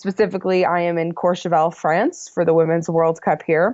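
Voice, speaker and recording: Speaking very fast, a woman uses a fairly low pitch. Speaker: ski racing podcast host. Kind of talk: casual podcast talk. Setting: recorded abroad in France.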